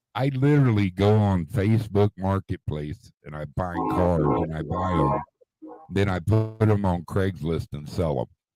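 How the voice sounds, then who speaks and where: With music in the background, a man with a very deep, low pitch talks at a fairly slow pace and lively intonation, the sound dry and close with no echo. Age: 60s. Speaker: retired car dealer, livestream host. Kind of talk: casual chat.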